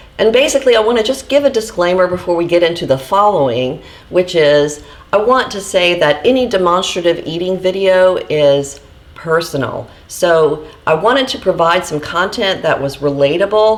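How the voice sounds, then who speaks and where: A woman talks at a moderate pace and a medium pitch with lively intonation. Noticeable background noise sits behind her. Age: 40s. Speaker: vlogger sharing eating disorder recovery. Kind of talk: casual vlog talk to camera.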